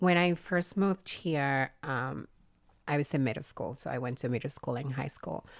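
Speaking at a moderate pace with a strong Cuban accent, a woman uses a very deep, low pitch and ordinary pitch variation, recorded very cleanly against a silent background. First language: Spanish. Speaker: adult film performer. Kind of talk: casual podcast interview. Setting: studio with microphones.

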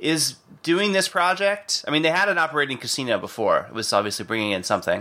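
The speech races at a very fast pace in a bright, sharp tone, with vocal fry and very wide pitch swings. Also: man, fairly high pitch for a man. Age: 30s. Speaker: podcast host. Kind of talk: casual chat.

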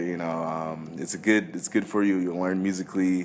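A man talks with an American accent. His pitch is very deep and low, with ordinary variation. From California. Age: 20s. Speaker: pianist. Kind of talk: casual interview.

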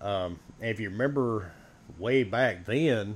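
An ordinary speaking voice, male, pitched fairly low, its pitch moving in a typical way. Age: 40s. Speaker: podcaster. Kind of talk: casual chat.

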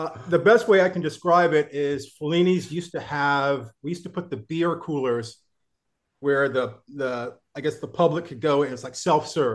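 A plain, everyday voice from a man, fairly high in pitch, with ordinary pitch variation and a moderate pace. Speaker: musician. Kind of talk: casual chat. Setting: video call.

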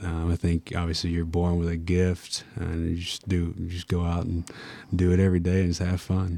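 On a very clean recording with a silent background, a voice with a Tennessee accent and a dark, mellow tone speaks at a moderate pace in a monotone, flat intonation. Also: man. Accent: Clay County (Tennessee). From Clay County, Tennessee. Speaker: college basketball player. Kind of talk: interview. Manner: halting, many fillers.

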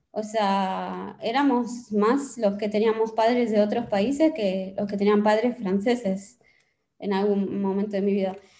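Keeping her intonation fairly even, a woman speaks at a fairly slow pace in a dark, mellow tone. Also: medium pitch for a woman. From France. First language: French (speaking Spanish). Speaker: novelist. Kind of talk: interview.

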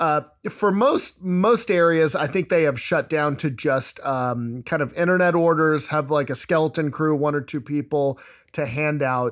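A man's fairly high-pitched, plain, everyday voice, with ordinary pitch variation and a fairly slow pace. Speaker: podcast host. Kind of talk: casual chat.

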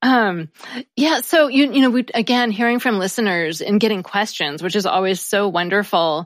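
In an unremarkable speaking voice, a woman talks at a moderate pace and medium pitch with lively intonation. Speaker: grammar podcast host, network founder. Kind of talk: casual chat. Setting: video call.

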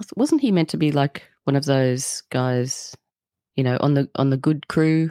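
At a moderate pace, a woman with an Australian accent talks in a very deep, low pitch with ordinary pitch variation. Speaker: podcaster. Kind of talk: casual chat.

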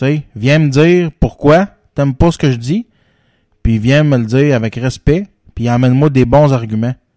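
A man with a Quebec accent talks at a fairly slow pace and a medium pitch, leaving long, frequent pauses. His tone is dark and mellow, with ordinary pitch variation and a dry, close sound with no echo. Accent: Quebec French, informal joual. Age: 30s. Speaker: podcast host. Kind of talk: casual chat.

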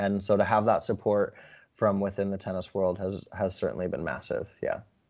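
A man's fairly low, monotone, flat delivery at a fairly quick pace, with an American accent. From Montana, US. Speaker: sports television presenter. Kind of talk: interview.

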